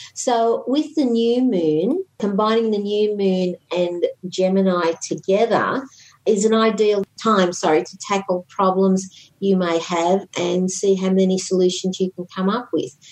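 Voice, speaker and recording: A woman speaks at a fairly slow pace. She has an ordinary speaking voice. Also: medium pitch for a woman, ordinary pitch variation. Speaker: podcast co-host, astrology commentator.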